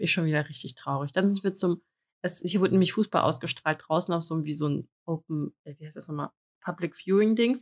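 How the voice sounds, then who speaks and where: A woman with fairly low pitch and ordinary pitch variation speaks at a very fast pace. The recording is very clean with a silent background and a dry, close sound with no echo. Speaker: podcast co-host. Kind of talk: casual chat.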